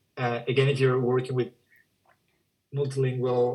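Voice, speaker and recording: This man has a Spanish accent and a medium pitch. His voice is somewhat breathy, and his intonation is monotone and flat. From Spanish-speaking country. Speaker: education software demonstrator. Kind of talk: software demo.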